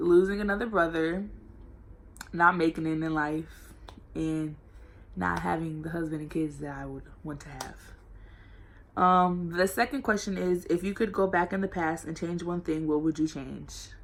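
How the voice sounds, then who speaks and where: Here is an energetic tone in an American accent with ordinary pitch variation. The pace is moderate, and the loudness swings widely. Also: woman, fairly low pitch for a woman. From Norfolk, Virginia, US. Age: 18. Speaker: college student vlogger. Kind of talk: casual vlog Q&A. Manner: loud and energetic.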